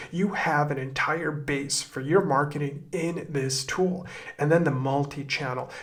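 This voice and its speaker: Noticeable background noise and audible room echo surround a man speaking at a fairly slow pace. His pitch is fairly high and his intonation fairly even. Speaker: e-commerce marketing tutor. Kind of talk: screen-recorded tutorial.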